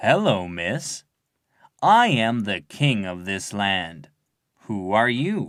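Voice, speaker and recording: A man uses a put-on character voice, fairly low in pitch with lively intonation. He talks at a very slow pace with long, frequent pauses. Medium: read story. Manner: confident, commanding.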